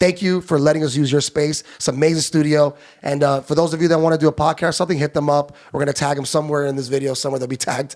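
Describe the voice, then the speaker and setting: A man with a fairly high pitch speaks very fast, with hardly any pauses. His intonation is flat and monotone. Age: 40s. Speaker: nightlife event promoter. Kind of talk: casual interview chat. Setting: studio.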